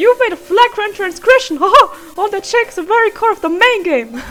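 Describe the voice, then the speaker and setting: Putting on a squeaky character voice, a woman talks at a fairly quick pace with an extremely high pitch. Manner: theatrical, gleeful, accusatory.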